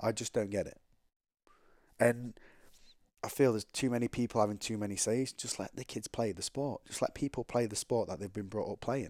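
Speaking at a fairly quick pace with long, frequent pauses and fairly even intonation, a man is heard on a very clean recording with a silent background. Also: medium pitch for a man, dry, close sound with no echo. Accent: English. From England. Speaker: former pro rugby player. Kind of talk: casual interview.

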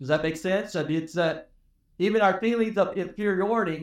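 With ordinary pitch variation, a man talks in a high voice. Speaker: pastor. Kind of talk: sermon. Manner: loud.

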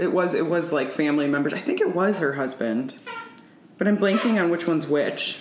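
Over noticeable background noise, a woman with a fairly low pitch talks at a fairly quick pace, her intonation lively and her loudness very even. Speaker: comedian. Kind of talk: casual chat.

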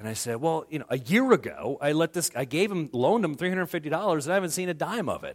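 A loud voice at a very fast pace in a very clean recording with a silent background. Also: man. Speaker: pastor. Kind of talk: sermon. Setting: church.

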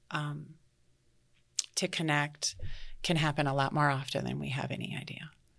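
A woman speaks at a moderate pace with a very deep, low pitch and vocal fry. Her intonation is fairly even, with long, frequent pauses. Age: 50s. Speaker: nurse and motivational speaker. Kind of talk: casual chat.

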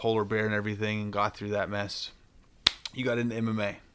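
Noticeable background noise runs beneath a man whose voice sits fairly low in pitch. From Southern Ohio / Eastern Kentucky, Appalachia. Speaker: podcast co-host and amateur fighter. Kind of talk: casual chat.

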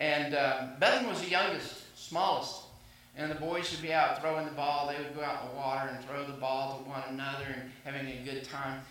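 Through audible room echo and noticeable background noise, a man with an American accent talks at a fairly quick pace in a fairly high pitch, keeping his intonation fairly even. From US South. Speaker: pastor. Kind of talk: sermon. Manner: halting.

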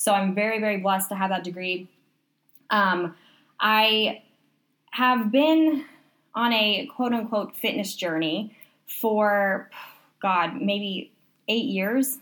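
A woman's fairly high voice at a very slow pace, with ordinary pitch variation and long, frequent pauses. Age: 20s. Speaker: fitness and wellness coach. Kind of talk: casual chat. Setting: in a tent in a guest bedroom.

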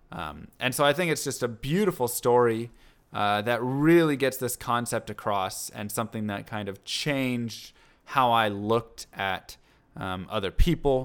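In a very clean recording with a silent background, the speaker uses an unremarkable speaking voice with lively intonation at a moderate pace. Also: man. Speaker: podcast host. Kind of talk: casual chat.

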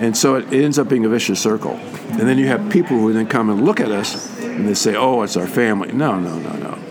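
Over noticeable background noise, a man speaks at a fairly quick pace with lively intonation and hardly any pauses. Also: medium pitch for a man. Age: 70s. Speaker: psychologist. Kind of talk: interview. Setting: convention. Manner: halting.

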